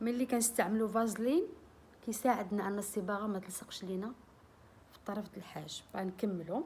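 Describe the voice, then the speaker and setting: A woman talks at a moderate pace and a medium pitch, with ordinary pitch variation. Her loudness swings widely. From Morocco. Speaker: beauty and cooking vlogger. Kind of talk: tutorial. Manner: casual, friendly.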